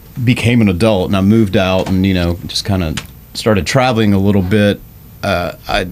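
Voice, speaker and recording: With a slight Southern US accent, a man speaks at a fairly low pitch and moderate pace, his intonation fairly even and his pauses long and frequent. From Middle Tennessee, US South (Smyrna). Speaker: rock guitarist. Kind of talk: podcast interview. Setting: studio.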